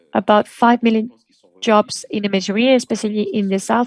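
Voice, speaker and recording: A woman's voice with fairly even intonation over music in the background. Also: dry, close sound with no echo. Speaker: conference panelist. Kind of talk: conference presentation.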